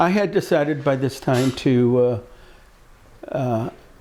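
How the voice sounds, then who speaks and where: A man's medium-pitched, dark, mellow voice in a Midwestern American accent. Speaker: speech pathologist, former camper. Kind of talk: personal reminiscence. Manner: halting, many fillers and repetitions.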